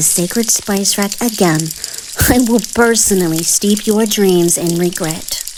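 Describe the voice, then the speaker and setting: The speech moves at a fairly slow pace with ordinary pitch variation, and noticeable background noise runs underneath. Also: woman. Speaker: author reading own story. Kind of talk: bedtime story reading. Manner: soft-spoken.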